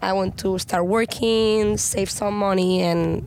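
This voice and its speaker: Speaking in a Spanish accent, the woman keeps a fairly even intonation. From Spain. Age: 20s. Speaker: pro kiteboarder. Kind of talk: casual interview.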